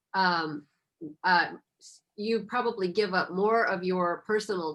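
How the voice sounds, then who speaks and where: In a quiet background, a woman with an ordinary speaking voice and an American accent talks at a fairly slow pace, medium in pitch with ordinary pitch variation. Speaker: podcast host, fitness instructor. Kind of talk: interview question.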